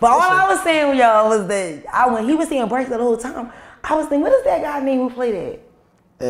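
A woman at a very fast pace and high pitch, with audible room echo. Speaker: podcast guest, book author; podcast guest. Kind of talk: casual talk show chat. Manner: fast talker. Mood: lively, laughing. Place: studio.

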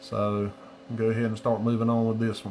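A man talks in a monotone, flat intonation at a moderate pace while light noise sits in the background. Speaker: sports card break host. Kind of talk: casual livestream commentary. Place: home room. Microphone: phone near.

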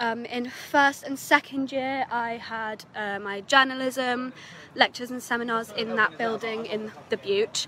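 A woman speaks at a fairly slow pace in a high pitch with fairly even intonation, the sound dry with no echo and light background noise. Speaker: student guide. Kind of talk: casual vlog chat. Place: street. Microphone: phone near.

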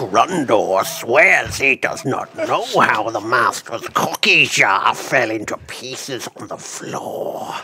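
Over clear background noise, a man uses a put-on character voice at medium pitch and a very slow pace.

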